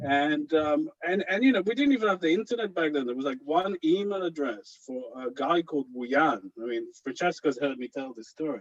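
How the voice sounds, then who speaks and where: A man with an Israeli accent talks at a fairly quick pace. His pitch swings very widely. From Israel (kibbutz). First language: Hebrew. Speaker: anthology editor and author. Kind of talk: panel discussion. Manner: hesitant, many fillers.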